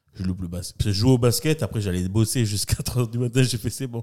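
In a dark, mellow tone, a man speaks at a moderate pace with lively intonation. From New Caledonia, Magenta towers (Nouméa). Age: 40s. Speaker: event host and comedian. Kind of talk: casual interview chat.

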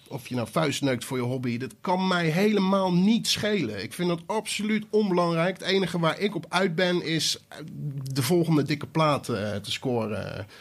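Lively intonation from a man with a high pitch, moving at a moderate pace. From Netherlands, Maassluis area (South Holland). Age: 30s. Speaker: DJ and music producer. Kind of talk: casual chat. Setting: home studio.

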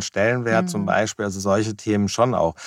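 A man speaks in a fairly low pitch. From Germany, Wiesbaden. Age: 50s. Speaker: business consultant. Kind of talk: interview conversation. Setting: small recording box. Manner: hesitant with fillers.

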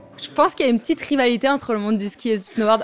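Speech moves at a fairly quick pace with ordinary pitch variation over noticeable background noise. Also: woman. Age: 20s. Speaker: professional snowboarder. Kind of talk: interview testimony. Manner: hesitant, many fillers.

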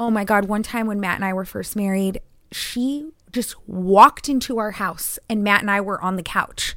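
On a very clean recording with a silent background, a woman uses a normal speaking voice at a fairly high pitch, with ordinary pitch variation and a moderate pace. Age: 30s. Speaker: podcast host. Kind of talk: casual chat.

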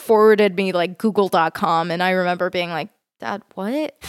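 A woman's ordinary speaking voice with an American accent, medium pitch and ordinary pitch variation, in a dry, close sound with no echo on a very clean recording with a silent background. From Texas, Fort Worth. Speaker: medical student and cancer researcher. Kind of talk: casual interview.

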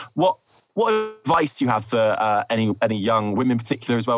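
A man's very fast speech over music in the background. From Essex, England. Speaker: podcast host. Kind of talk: casual podcast interview.

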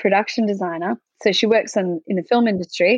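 Recorded dry and close with no echo, a woman speaks in an Australian accent with ordinary pitch variation. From Australia, rural Victoria. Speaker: nurse. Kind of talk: interview.

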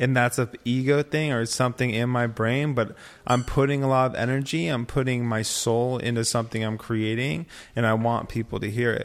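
In an ordinary speaking voice, a man of medium pitch talks at a fairly quick pace with fairly even intonation. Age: 30s. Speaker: former model and artist. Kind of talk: casual chat.

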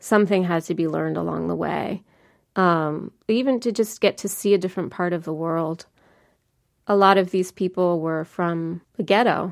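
A woman with an American accent talks at a moderate pace in a plain, everyday voice, her pitch fairly low. Pitch variation is ordinary, and the recording is very clean with a silent background. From New Jersey. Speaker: author. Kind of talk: interview.

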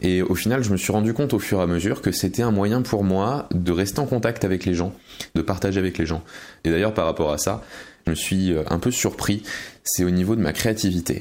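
Here a man speaks at a fairly quick pace in a very deep, low voice. His loudness holds very even. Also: ordinary pitch variation. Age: 20s. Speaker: stage magician. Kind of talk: recorded personal testimony.

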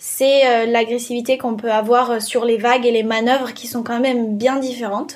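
High-pitched, a woman talks at a moderate pace. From French Alps. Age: 20s. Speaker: professional surfer. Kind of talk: interview testimony. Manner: hesitant, many fillers.

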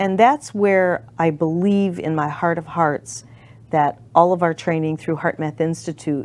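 Her voice is a normal speaking voice, fairly low for a woman, with ordinary pitch variation. She speaks at a fairly slow pace. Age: 60s. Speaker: talk show host. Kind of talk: casual chat. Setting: studio.

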